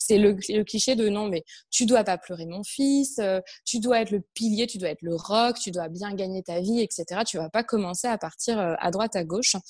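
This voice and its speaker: A woman with a plain, everyday voice speaks at medium pitch and a moderate pace with ordinary pitch variation, the sound dry and close with no echo. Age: 30s. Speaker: entrepreneur, personal development coach. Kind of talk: interview.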